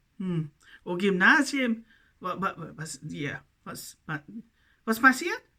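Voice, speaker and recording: At a moderate pace, the voice sounds bright and sharp. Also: woman. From New Zealand. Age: 50s. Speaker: self-styled preacher. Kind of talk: video monologue. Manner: halting.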